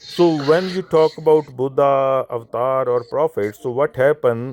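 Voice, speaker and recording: Recorded dry and close with no echo, a man with a non-native accent talks at a fairly high pitch with ordinary pitch variation. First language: not English. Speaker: Sikh speaker in interfaith discussion. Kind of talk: interfaith discussion. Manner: halting.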